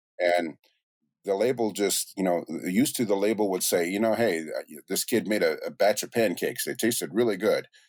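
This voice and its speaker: In a very clean recording with a silent background, a man with an unremarkable speaking voice and fairly low pitch talks at a moderate pace with ordinary pitch variation. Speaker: music producer. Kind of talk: podcast interview answer. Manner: casual, conversational.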